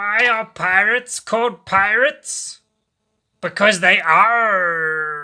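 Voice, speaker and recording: A man puts on a shrill character voice, high in pitch. He speaks at a very slow pace. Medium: read story. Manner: pirate slang, jokey.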